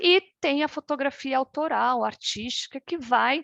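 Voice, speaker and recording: The sound is dry and close, with no echo, over a quiet background. Pitch variation is ordinary. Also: woman. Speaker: fine art photographer and artist. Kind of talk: online workshop presentation. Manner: halting, many repetitions.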